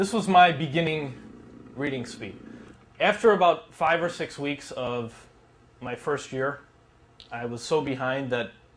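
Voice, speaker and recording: Speaking at a fairly slow pace with long, frequent pauses, a man with a fairly high pitch and lively intonation swings widely in loudness amid audible room echo. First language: Polish. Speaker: speed reading instructor. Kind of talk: workshop lecture. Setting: classroom with students. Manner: casual, conversational.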